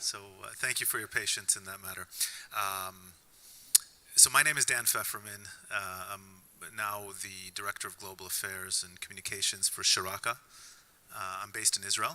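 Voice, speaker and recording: A man with an American accent speaks at a moderate pace, with long, frequent pauses and big swings in loudness. Noticeable background noise is present. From US Midwest, Indiana. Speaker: policy analyst, panelist. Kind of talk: panel discussion. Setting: synagogue event with audience.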